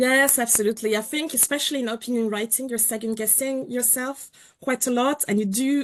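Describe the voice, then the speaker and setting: This woman talks at a fairly quick pace with a non-native accent. Her pitch is high, and her intonation stays fairly even. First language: not English. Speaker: journalist and columnist. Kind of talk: webinar panel discussion. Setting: online webinar.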